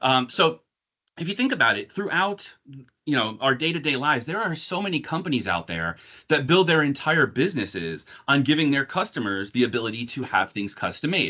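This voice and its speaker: Bright and sharp with vocal fry, a man with an American accent speaks in a fairly high pitch that makes very wide swings. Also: fairly quick pace, quiet background. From northern New Jersey, near New York City. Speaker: corporate marketing director. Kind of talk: corporate presentation. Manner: fast.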